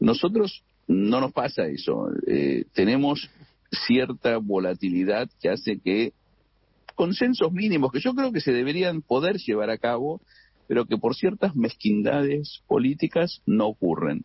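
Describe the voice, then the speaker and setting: Fairly slow and at very even loudness, a man speaks at medium pitch with very wide pitch swings. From Argentina. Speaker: economist and finance expert. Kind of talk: radio interview. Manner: halting, many repetitions and fillers.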